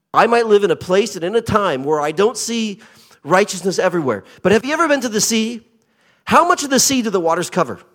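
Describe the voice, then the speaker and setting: With a Pacific Northwest accent, a man talks at a very fast pace in an animated tone. His voice is high with lively intonation. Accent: American, Pacific Northwest. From US Pacific Northwest (Portland, Oregon). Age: 50s. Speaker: visiting pastor. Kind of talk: sermon. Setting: church with congregation, handheld mic. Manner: animated, humorous.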